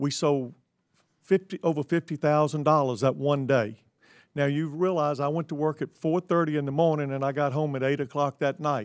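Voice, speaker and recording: At a moderate pace, a man with a fairly high pitch and an unremarkable speaking voice keeps a fairly even intonation in a very clean recording with a silent background and a dry, close sound with no echo. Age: 60s. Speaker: grocery store owner. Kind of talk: congressional hearing testimony. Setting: committee hearing room.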